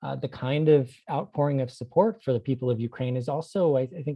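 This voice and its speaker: A man with a normal speaking voice talks at a fairly quick pace with an American accent, a medium pitch and fairly even intonation. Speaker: anthropology professor. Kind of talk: interview.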